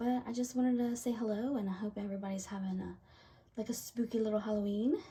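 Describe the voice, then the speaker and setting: Very fast and fairly even in intonation, a woman speaks at a fairly high pitch with an American accent. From US South. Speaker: craft video creator. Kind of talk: casual chat; casual vlog chat. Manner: halting. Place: home room. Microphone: camera far.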